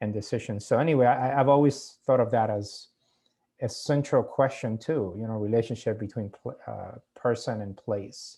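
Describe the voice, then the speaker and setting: On a very clean recording with a silent background, a man with a Cuban accent speaks at a moderate pace in a medium pitch and a dark, mellow tone, with ordinary pitch variation and big swings in loudness. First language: Spanish. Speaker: author. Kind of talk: casual chat. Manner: halting.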